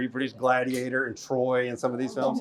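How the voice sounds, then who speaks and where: Over noticeable background noise, a man with an American accent talks at a medium pitch and a fairly quick pace. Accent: southern US hillbilly. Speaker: film festival director. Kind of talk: panel Q&A. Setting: live event with audience. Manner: casual, conversational.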